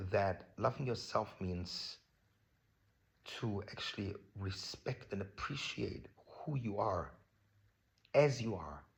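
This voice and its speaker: With a German accent, the speaker talks at a very slow pace in a somewhat breathy voice, with ordinary pitch variation. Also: man. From Germany. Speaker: vlogger. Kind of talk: personal vlog talk on self-love. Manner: casual, many fillers.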